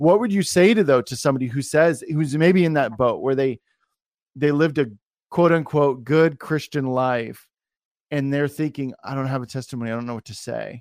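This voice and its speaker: On a very clean recording with a silent background, a man talks at a moderate pace. His pitch is fairly high with ordinary variation, and his loudness swings widely. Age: 30s. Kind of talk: casual interview chat. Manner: animated.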